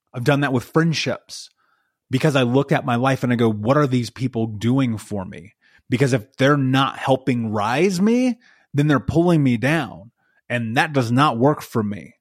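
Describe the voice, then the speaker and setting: A man with an American accent speaks at a moderate pace and a medium pitch. His tone is intense, with ordinary pitch variation. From US. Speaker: life coach. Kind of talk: interview. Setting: remote call.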